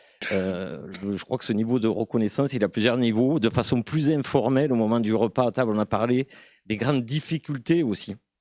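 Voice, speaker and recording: A man talks at a fairly quick pace with ordinary pitch variation, in a rural southern French accent. The sound is dry and close with no echo, on a very clean recording with a silent background. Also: medium pitch for a man. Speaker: conference audience member. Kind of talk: conference Q&A comment. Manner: hesitant.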